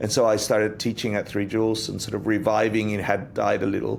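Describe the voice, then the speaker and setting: Talking at a moderate pace, a man with a fairly low pitch is heard with audible room echo. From Australia. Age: 60s. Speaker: Buddhist meditation teacher. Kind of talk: interview conversation.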